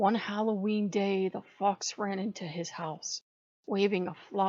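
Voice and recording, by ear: Someone reads aloud in a natural voice, and the surroundings stay quiet.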